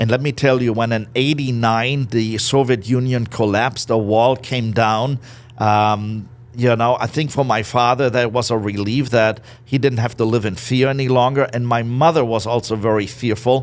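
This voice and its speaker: A man speaks with a German accent at a medium pitch. His intonation is fairly even and his pace moderate. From Germany, Berlin. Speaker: business owner. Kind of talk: interview. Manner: loud.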